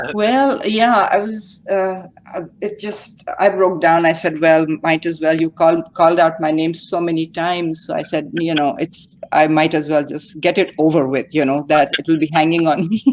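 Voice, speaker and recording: Ordinary pitch variation with a Pakistani accent. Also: woman, fairly low pitch for a woman, moderate pace, hardly any pauses. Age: 60s. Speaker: retail investor. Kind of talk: casual chat. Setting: livestream call. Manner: halting, hesitant.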